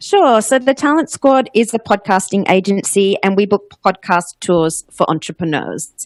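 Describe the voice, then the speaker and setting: A woman with an Australian accent talks at a moderate pace with hardly any pauses and very even loudness. Her medium pitch carries lively intonation, in a dry, close sound with no echo. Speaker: podcast booking agent, former radio host. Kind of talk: interview.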